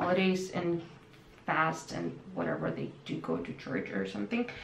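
Audible room echo and light background noise surround the voice. A woman speaks at a moderate pace. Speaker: vlogger. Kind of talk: casual vlog chat. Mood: calm, reflective. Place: home room.

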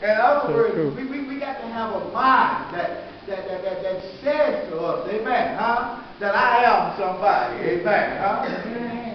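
Strong room echo surrounds a man's voice, with light background noise. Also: fairly slow pace. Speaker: pastor. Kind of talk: sermon. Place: church. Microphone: camera far.

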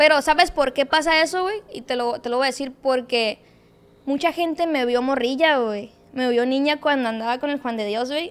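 A woman speaks at a moderate pace in a high voice, with ordinary pitch variation. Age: 20s. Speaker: social media content creator. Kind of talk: casual interview chat. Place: studio. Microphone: studio mic.

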